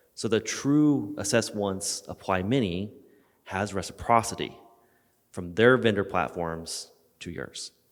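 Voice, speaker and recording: The man's pitch is fairly low. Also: very clean recording, silent background. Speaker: audience member asking a question. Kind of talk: audience question. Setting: conference room with audience microphone. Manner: loud.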